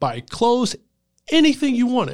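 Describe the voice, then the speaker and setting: A man with a South Carolina accent in a very clean recording with a silent background. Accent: Southern US (South Carolina). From US South, Greenville, South Carolina. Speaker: doctoral student and speaker. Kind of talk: casual interview conversation.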